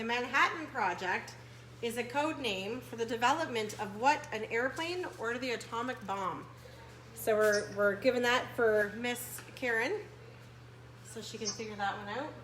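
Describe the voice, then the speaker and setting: With an animated tone and a fairly high pitch, a woman speaks at a moderate pace with ordinary pitch variation, amid audible room echo and noticeable background noise. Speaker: adult day program staff host. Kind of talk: online game show hosting. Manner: loud.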